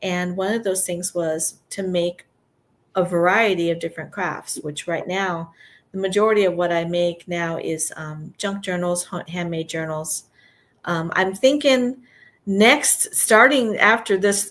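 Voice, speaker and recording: A woman speaks in a normal speaking voice at medium pitch. Pitch variation is ordinary, and the recording is very clean with a silent background. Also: fairly slow pace. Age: 60s. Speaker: retired art teacher and crafter. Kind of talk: casual chat. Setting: livestream.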